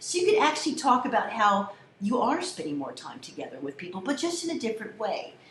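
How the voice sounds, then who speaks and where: Over noticeable background noise and audible room echo, a woman speaks in an animated tone with an American accent. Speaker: college communication instructor. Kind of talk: lecture to students. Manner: loud.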